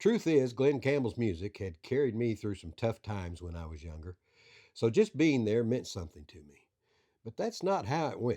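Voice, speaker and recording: Dark, mellow tone in a Southern US accent, moderate pace, very wide pitch swings, big loudness swings, quiet background. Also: man, medium pitch for a man. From Arkansas. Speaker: coroner and backroads storyteller. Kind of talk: scripted narration.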